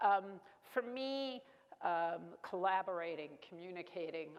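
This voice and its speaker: A woman talks in a Brooklyn accent. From US Northeast, Brooklyn, New York. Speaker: keynote speaker, former corporate executive. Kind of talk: keynote speech.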